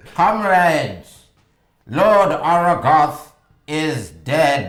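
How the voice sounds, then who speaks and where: Booming and put on as a character voice, this one moves at a very slow pace with lively intonation and a slight echo. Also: man, fairly high pitch for a man. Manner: loud, proclaiming.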